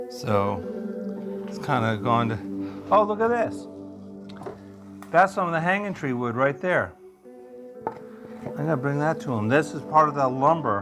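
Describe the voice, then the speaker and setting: Over music in the background, a man talks at a fairly slow pace in a fairly high pitch, his voice swinging very widely in pitch, with long, frequent pauses. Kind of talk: documentary walk-through narration. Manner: casual.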